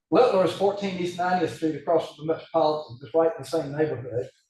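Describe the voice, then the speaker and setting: Somewhat breathy with a dark, mellow tone, the voice moves at a moderate pace through audible room echo. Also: man. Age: 70s. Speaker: hand surgeon lecturer. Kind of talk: casual discussion after lecture. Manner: hesitant, many fillers.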